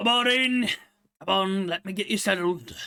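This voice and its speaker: Using a put-on character voice, a man speaks high at a moderate pace. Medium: virtual streamer. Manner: gruff, blunt.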